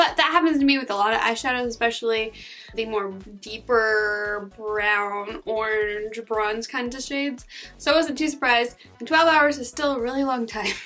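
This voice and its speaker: Over music in the background, a woman speaks at a moderate pace with fairly high pitch. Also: ordinary pitch variation. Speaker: beauty YouTuber. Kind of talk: makeup tutorial and review.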